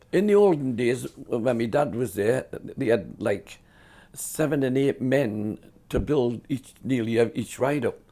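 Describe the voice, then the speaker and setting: Speaking at a moderate pace, a man with a Cumbrian accent has a dark, mellow tone at a medium pitch. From northern England, Carlisle. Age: 70s. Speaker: fairground showman. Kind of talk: storytelling interview. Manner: casual, halting with repetitions.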